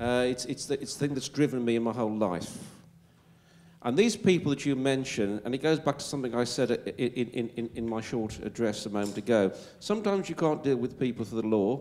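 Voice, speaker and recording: A man's medium-pitched voice, dark and mellow in tone, at a fairly quick pace with ordinary pitch variation, on a very clean recording with a silent background. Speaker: legal expert panelist. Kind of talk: panel Q&A answer. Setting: public event with audience. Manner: hesitant, repeating words.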